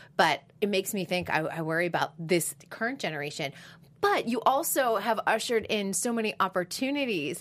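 Speaking with an American accent, a woman keeps a fairly quick pace. Her pitch is medium and her intonation lively. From Boston, US. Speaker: entertainment podcast host. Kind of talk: casual interview chat. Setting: studio.

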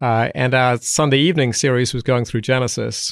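In a very clean recording with a silent background and a dry, close sound with no echo, a man speaks at a moderate pace. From south England. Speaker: Old Testament professor and commentary author. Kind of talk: interview conversation. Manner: hesitant, repeats words.

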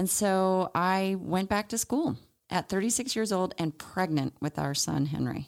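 A woman speaks in a normal speaking voice at a moderate pace with lively intonation. The recording is very clean with a silent background. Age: 40s. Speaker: naturopathic doctor and podcast co-host. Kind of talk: casual chat.

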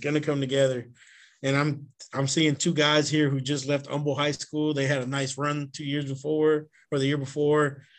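A man talks in a Texan accent at a fairly high pitch. His pace is moderate. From Houston east side, Texas. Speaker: high school football coach. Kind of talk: casual interview chat.

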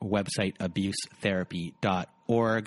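A plain, everyday voice from a man, fairly low in pitch, with fairly even intonation. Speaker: podcast host. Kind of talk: casual interview.

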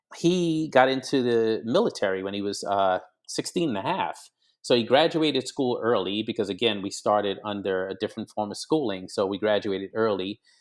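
With an American accent, a man uses an ordinary speaking voice at a medium pitch, lively intonation and a fairly quick pace. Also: very clean recording, silent background. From Grenada and Brooklyn, New York. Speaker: criminal justice reform advocate. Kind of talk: interview.

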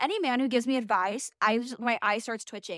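Recorded very clean against a silent background, with a dry, close sound and no echo, a woman with an American accent speaks at a very fast pace and with ordinary pitch variation. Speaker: podcast host. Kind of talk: casual solo monologue. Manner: loud; animated.

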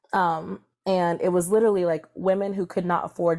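A woman has an unremarkable speaking voice with an American accent and fairly low pitch. Her pace is moderate and her intonation fairly even. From Maryland, US (Columbia, between Baltimore and DC). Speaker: reproductive justice organizer. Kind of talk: interview.

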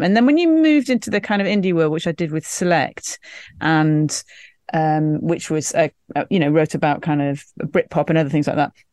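Against a quiet background, the speaker uses lively intonation with an English accent. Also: woman. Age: 50s. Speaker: journalist. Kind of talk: casual chat.

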